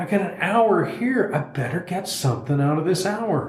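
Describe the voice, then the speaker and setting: A man's high-pitched voice with very wide pitch swings at a moderate pace, amid noticeable background noise and audible room echo. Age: 60s. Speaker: person in long-term addiction recovery. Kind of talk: casual discussion. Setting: studio.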